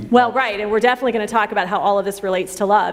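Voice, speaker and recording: Despite noticeable background noise, a woman's fairly high voice comes through in an animated tone. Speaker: women's ministry event host. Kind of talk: church women's event talk with panel.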